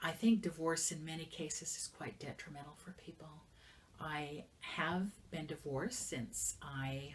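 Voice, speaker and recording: At a fairly slow pace, a woman talks in a very deep, low pitch with ordinary pitch variation and big swings in loudness. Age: 60s. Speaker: business manager and entrepreneur. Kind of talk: interview. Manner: halting.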